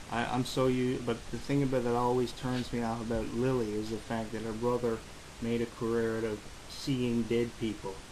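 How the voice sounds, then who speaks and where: A man talks at a medium pitch and a moderate pace with a Newfoundland accent. His intonation is monotone and flat, and audible room echo surrounds him. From Newfoundland, Canada. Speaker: interviewer. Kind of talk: casual interview.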